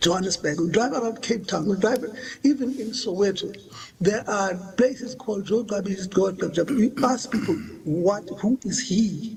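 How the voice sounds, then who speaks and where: This man's voice sits high in pitch, with ordinary variation and a moderate pace. Background noise is noticeable. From South Africa. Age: 60s. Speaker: witness at a commission. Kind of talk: testimony. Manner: halting.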